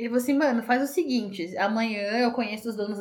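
This woman's fairly high-pitched voice moves up and down in an ordinary way. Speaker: podcast co-host. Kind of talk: casual chat. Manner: frequent laughter.

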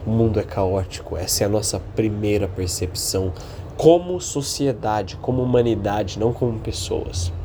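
In an interior São Paulo accent, a man speaks at a moderate pace with a fairly low pitch and ordinary pitch variation. Audible room echo and noticeable background noise fill the recording. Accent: caipira-style retroflex R. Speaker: podcast host. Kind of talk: solo monologue podcast. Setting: home apartment, partly on balcony.

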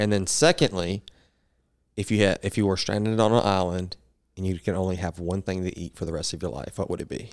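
With a Southern US accent, a man speaks at a fairly quick pace in a very deep, low pitch with ordinary pitch variation, recorded very cleanly against a silent background. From Arkansas. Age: 20s. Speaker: powerlifter and podcast host. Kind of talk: casual chat.

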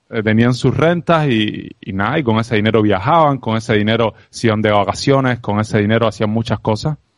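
Over a quiet background, a man with an unremarkable speaking voice talks at a fairly quick pace. His pitch is medium, with ordinary pitch variation. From Cuba. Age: 30s. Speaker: entrepreneur and sales expert. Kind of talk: interview conversation.

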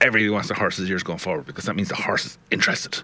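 This man talks very fast with a Dublin accent and a fairly low pitch. There is noticeable background noise. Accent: Irish (Dublin). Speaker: radio host. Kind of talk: live radio show chat. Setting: studio.

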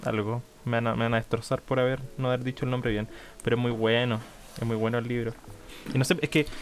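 A man with a Chilean accent, very fast pace, monotone, flat intonation and long, frequent pauses. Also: medium pitch for a man. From Chile, Portezuelo near Chillán. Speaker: podcast co-host. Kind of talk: casual chat. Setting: remote recording.

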